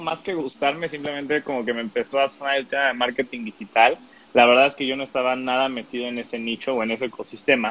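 A man with a Mexican accent talks in a fairly high pitch with ordinary pitch variation. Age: 20s. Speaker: digital marketing agency owner. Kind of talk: interview.

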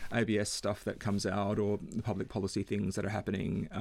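At a moderate pace, a man speaks in an Australian accent in a very clean recording with a silent background. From Western Australia, Perth. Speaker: economics consultant. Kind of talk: interview.

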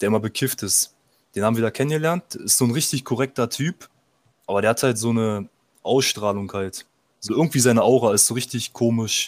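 A man at medium pitch has an ordinary speaking voice with ordinary pitch variation and a fairly quick pace. The recording is very clean and dry, close with no echo, over a silent background. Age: 20s. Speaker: fitness enthusiast. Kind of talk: casual chat.

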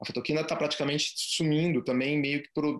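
This man speaks at a fairly quick pace in a fairly high pitch. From Brazil, Curitiba. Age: 40s. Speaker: photography business owner. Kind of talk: interview. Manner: halting, many repetitions.

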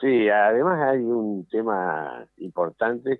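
This is a man speaking. His pitch is fairly low. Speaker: football club president. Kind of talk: radio interview. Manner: halting.

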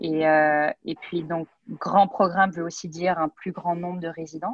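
The recording is dry and close with no echo, carrying a woman's fairly low voice and fairly even intonation. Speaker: neurology resident. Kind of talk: interview. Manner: hesitant with frequent repetitions.

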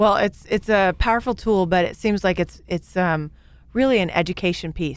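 Speaking at a moderate pace, a woman has a fairly low pitch and ordinary pitch variation. The recording is very clean with a silent background. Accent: Midwestern American. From Kansas (Great Bend). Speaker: business show host. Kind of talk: interview.

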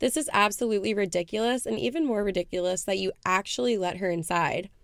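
In a very clean recording with a silent background, a woman with a medium pitch speaks at a fairly quick pace in an animated tone with lively intonation. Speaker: podcast co-host. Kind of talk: casual chat.

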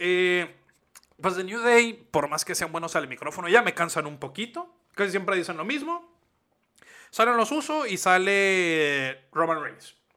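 Speaking at a fairly slow pace, a man uses a raised, projected voice with a bright, sharp tone and big swings in loudness. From Mexico. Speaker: wrestling podcast co-host. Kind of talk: casual chat.

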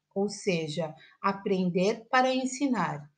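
A woman speaks in a medium-pitched, somewhat breathy voice. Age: 40s. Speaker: teacher. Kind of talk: personal essay read aloud.

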